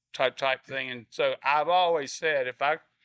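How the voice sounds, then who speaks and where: With an American accent, a man speaks at a very slow pace and a fairly high pitch. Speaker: surf shop owner, surfboard shaper. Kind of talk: interview answer. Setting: busy restaurant. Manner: blunt, straight-talking.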